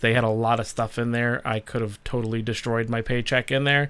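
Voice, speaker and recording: Loud and with a bright, sharp tone, a man speaks at medium pitch with fairly even intonation on a very clean recording with a silent background. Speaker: live stream host. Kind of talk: casual live stream chat.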